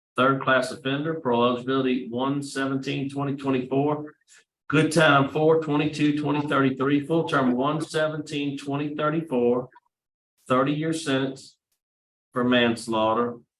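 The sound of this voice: Heard with audible room echo, a man talks at a moderate pace and medium pitch, his tone fairly bright and his pitch showing little movement.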